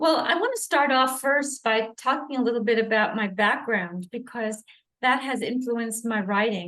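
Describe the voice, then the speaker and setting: At a moderate pace, a woman speaks loudly with a fairly high pitch, fairly even intonation and a bright, sharp tone. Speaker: life coach, sports psychologist, author. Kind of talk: interview.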